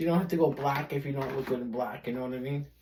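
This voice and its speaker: A woman with a Brooklyn accent. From US Northeast, Brooklyn, New York. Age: 50s. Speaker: beauty vlogger. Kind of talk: tutorial. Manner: casual, rambling with fillers.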